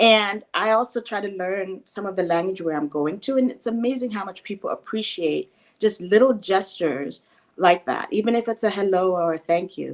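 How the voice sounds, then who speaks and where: A woman speaks with a slight Jamaican accent. Her pitch is medium. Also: ordinary pitch variation, moderate pace. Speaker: guest on talk show. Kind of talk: interview.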